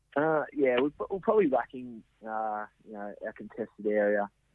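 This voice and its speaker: Keeping a moderate pace, a man talks with fairly even intonation. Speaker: Australian rules footballer. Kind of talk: interview.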